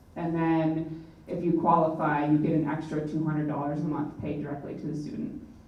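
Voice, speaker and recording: Background noise is noticeable. The room echo can be heard too. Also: woman. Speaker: National Guard representative. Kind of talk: presentation. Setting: public forum hall. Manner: fast.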